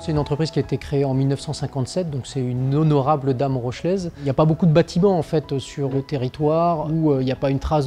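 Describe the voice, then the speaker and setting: Music plays in the background as a man talks at a very fast pace. His medium-pitched voice holds a fairly even intonation. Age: 40s. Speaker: company director. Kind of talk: interview portrait. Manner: hesitant, frequent fillers.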